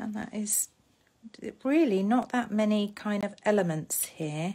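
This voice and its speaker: A woman with an English accent speaks at a fairly slow pace and medium pitch, her dark, mellow tone somewhat breathy and her pitch variation ordinary. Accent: posh, very proper English. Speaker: papercraft demonstrator. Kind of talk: live craft tutorial. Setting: Facebook live stream.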